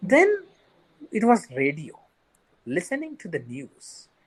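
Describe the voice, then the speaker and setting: A man with an Indian accent, high in pitch, with very wide pitch swings. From India, Marathi-speaking region. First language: Sindhi. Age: 40s. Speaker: bank manager with visual impairment. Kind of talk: interview.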